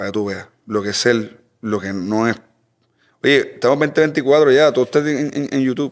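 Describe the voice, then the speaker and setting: A man talks at a moderate pace. He has an ordinary speaking voice at a medium pitch. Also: ordinary pitch variation. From Puerto Rico. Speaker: mechanic and speed shop owner. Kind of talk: casual chat.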